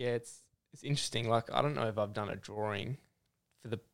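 A man with an Australian accent speaks at a medium pitch with ordinary pitch variation. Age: 20s. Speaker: clothing brand founder. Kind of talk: casual interview. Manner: casual, filler-heavy.

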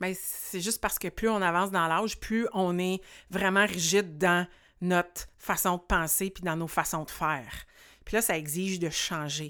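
A bright, sharp tone at a fairly slow pace, with fairly even intonation on a very clean recording and a silent background. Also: woman. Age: 40s. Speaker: podcast host and life coach. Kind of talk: solo podcast monologue.

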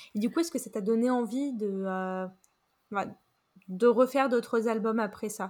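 Speaking at a fairly slow pace with long, frequent pauses, a woman has a fairly high pitch and ordinary pitch variation on a very clean recording with a silent background. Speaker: podcast host and writer. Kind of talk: interview.

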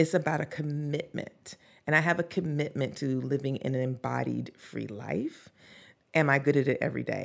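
A woman speaks with a Southern US accent and vocal fry. Her pitch is very deep and low, and her pace is moderate. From US South, North Carolina. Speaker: podcast creator and social justice advocate. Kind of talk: interview conversation. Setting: studio, in person.

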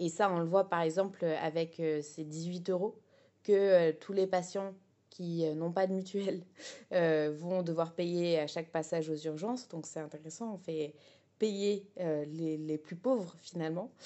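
A woman's fairly low voice at a very slow pace, her intonation fairly even. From France, Essonne. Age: 20s. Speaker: political activist. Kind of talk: political testimony. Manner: hesitant, with fillers.

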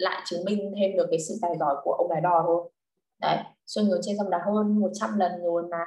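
A woman with a dark, mellow tone speaks at a fairly quick pace with fairly even intonation. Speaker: literature tutor. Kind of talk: online lesson. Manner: halting.

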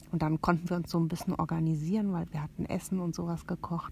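A woman speaks in a dark, mellow, somewhat breathy tone with monotone, flat intonation. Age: 40s. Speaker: aunt of the hosts, guest. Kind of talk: casual chat with scary storytelling. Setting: inside a tent at a campsite at night.

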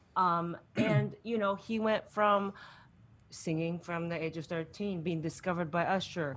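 A woman with a normal speaking voice, fairly low pitch, fairly even intonation, and a fairly slow pace. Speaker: comedian. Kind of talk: comedic quiz banter.

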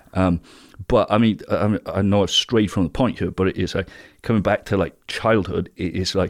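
A speaker with a British accent talks at a moderate pace in a very clean recording with a silent background, the sound dry and close with no echo. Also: man. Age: 30s. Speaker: alternative health business founder. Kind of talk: interview. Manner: halting.

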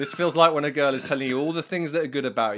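A man with a British accent. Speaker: podcast co-host. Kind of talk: casual chat. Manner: animated.

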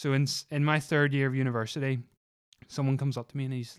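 A man with a Northern Irish accent speaks at a fairly quick pace in a medium pitch, his intonation flat and monotone, on a very clean recording with a silent background. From Northern Ireland (Lisburn). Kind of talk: casual chat. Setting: family cottage on a farm.

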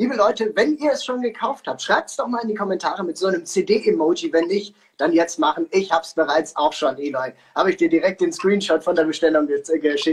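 Here a man speaks at a high pitch with lively intonation. His pace is fairly quick. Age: 20s. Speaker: singer and talk show host. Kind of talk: casual interview. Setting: live stream on social media.

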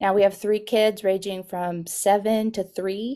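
A woman with an American accent, dark and mellow in tone, medium in pitch, monotone and flat at a moderate pace, on a very clean recording with a silent background. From Texas, Guatemala, Arizona and Mexico. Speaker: children's ministry director. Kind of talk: podcast interview.

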